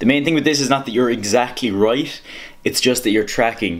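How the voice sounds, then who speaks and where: A man with an Irish accent talks with ordinary pitch variation. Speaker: fitness vlogger. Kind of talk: tutorial. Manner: fast.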